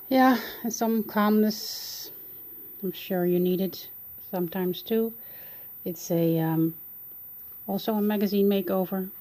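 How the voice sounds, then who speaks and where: Leaving long, frequent pauses, a woman with a Dutch accent and a dark, mellow tone speaks at a fairly slow pace with fairly even intonation. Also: medium pitch for a woman. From Netherlands. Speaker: art journaling hobbyist. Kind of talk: casual video walkthrough. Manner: hesitant, many fillers.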